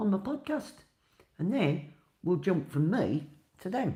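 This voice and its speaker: The tone is dark and mellow. Vocal fry runs through the voice. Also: woman. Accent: Birmingham. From Birmingham, England. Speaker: podcaster and dog wheelchair advocate. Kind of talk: casual monologue podcast. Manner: chatty, conversational.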